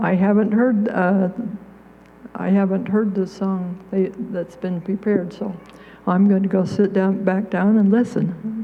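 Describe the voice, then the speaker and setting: Against noticeable background noise, a woman talks at a fairly slow pace with monotone, flat intonation. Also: medium pitch for a woman. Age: 80s+. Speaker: songwriter. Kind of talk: speech to an audience. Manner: halting.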